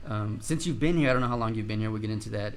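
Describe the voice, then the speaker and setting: A man with an animated tone, music in the background and audible room echo. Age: 30s. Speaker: podcast host. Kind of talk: casual interview chat.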